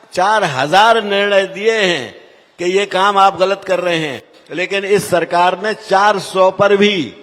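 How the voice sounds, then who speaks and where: Through noticeable background noise, a man speaks at a high pitch. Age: 80s+. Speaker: politician. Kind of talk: political speech.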